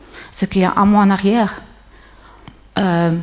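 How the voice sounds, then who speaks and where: A woman speaks fairly slowly in a medium pitch with monotone, flat intonation. Noticeable background noise runs underneath. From Switzerland. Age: 60s. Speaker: businesswoman, conference speaker. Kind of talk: conference talk. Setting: stage with audience. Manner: hesitant, many fillers.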